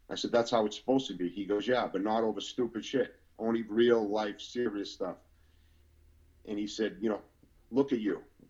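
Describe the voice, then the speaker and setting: Here a man with a Boston accent talks at a medium pitch and a fairly quick pace. He leaves long, frequent pauses. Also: fairly even intonation. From Boston, Massachusetts. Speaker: former prisoner. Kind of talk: testimony.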